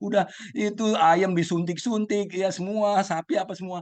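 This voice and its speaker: A man speaks at a moderate pace. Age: 60s. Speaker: participant in Buddhist sharing group. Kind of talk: group sharing testimony. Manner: hesitant, many fillers.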